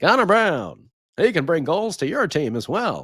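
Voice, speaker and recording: A put-on character voice at a middle pitch swings very widely in pitch at a moderate pace, on a very clean recording with a silent background. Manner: announcer-style, broadcast delivery.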